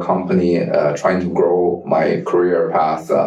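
Over noticeable background noise and audible room echo, a man talks with a Chinese accent. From China. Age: 50s. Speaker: tech company CEO and engineer. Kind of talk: interview. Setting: company office.

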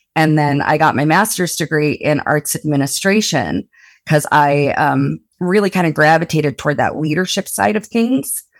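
A woman with an American accent speaks at a moderate pace in a very deep, low pitch, using vocal fry and lively intonation at very even loudness. The sound is dry and close with no echo, on a very clean recording with a silent background. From rural Utah (Blanding). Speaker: remote work program coordinator. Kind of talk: podcast interview.

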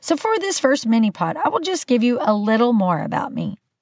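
The voice is somewhat breathy with lively intonation. It moves at a fairly quick pace. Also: woman. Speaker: podcast host. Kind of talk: casual monologue. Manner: animated.

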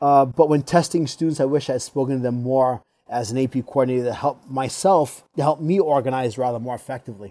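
A man with a slight Rhode Island accent talks at a very fast pace with hardly any pauses. His medium pitch has ordinary variation and a dark, mellow tone. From Rhode Island, US. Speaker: school assistant principal. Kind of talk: interview. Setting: video call.

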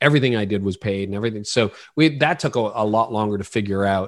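In a Canadian accent, a man with fairly low pitch talks at a fairly quick pace against a quiet background, a plain, everyday voice. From Canada, Ontario. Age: 50s. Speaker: pastor and leadership podcaster. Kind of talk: interview conversation.

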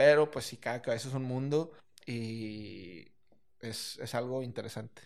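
In an unremarkable speaking voice at medium pitch, a man talks at a fairly slow pace with ordinary pitch variation and big swings in loudness. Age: 20s. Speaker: restaurant entrepreneur. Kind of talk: casual interview.

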